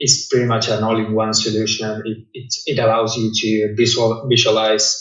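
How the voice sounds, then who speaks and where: Audible room echo surrounds a man speaking at a moderate pace. His pitch is medium and his intonation monotone and flat. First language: not English. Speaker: cleaning business owner. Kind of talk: interview. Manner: halting, frequent repetitions.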